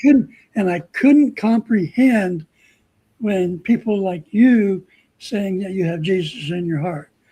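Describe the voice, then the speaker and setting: At a very slow pace, a man speaks with a high pitch and a dark, mellow tone. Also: ordinary pitch variation. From Southern California. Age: 70s. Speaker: guest, photographer. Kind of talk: testimony. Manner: halting, many fillers and repetitions.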